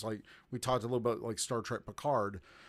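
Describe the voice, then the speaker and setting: On a very clean recording with a silent background, a man with an American accent uses a normal speaking voice at a medium pitch with fairly even intonation. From US South, Georgia. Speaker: podcaster, guest co-host. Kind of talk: casual chat.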